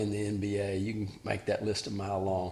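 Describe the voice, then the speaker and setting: A man's fairly low voice with a Southern US accent. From Alabama. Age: 60s. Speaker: former college basketball player and father of athletes. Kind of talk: interview.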